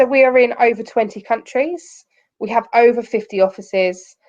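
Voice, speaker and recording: This woman speaks with an English accent. Her pitch sits fairly high. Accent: very English. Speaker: company recruiter presenting to students. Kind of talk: online careers presentation.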